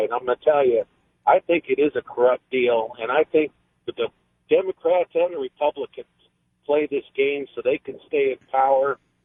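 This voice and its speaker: With a fairly high pitch and ordinary pitch variation, a man speaks at a moderate pace. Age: 50s. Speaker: caller, business owner. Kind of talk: talk radio call. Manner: halting.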